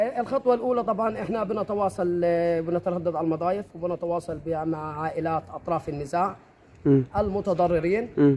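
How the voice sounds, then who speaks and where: Over light background noise, a man talks at a moderate pace with a high pitch. His tone is dark and mellow, with ordinary pitch variation. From Egypt. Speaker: community initiative organizer. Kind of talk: interview. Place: open country.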